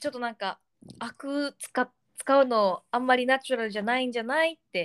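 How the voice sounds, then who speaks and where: Talking at a moderate pace, a woman uses a high voice whose pitch varies in an ordinary way. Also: dry, close sound with no echo. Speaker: podcast co-host. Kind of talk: casual bilingual chat.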